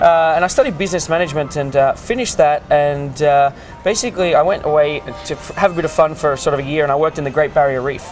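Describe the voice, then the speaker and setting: A man with an Australian accent talks at a very fast pace with hardly any pauses, his pitch fairly high with ordinary variation. Music plays in the background. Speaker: cruise ship art auctioneer. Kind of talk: interview answer. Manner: casual, conversational, frequent hesitations.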